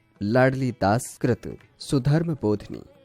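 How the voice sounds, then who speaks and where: With music in the background, a man at a medium pitch makes very wide pitch swings in a dry, close sound with no echo. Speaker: radio jockey. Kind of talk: educational lecture narration.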